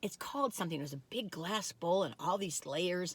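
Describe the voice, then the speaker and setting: Fairly quick and animated, a woman speaks with a Michigan accent. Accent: nasal Michigan vowels. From US Midwest, Michigan. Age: 60s. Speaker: food reviewer, YouTuber. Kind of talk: casual taste-test vlog. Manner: animated, chatty.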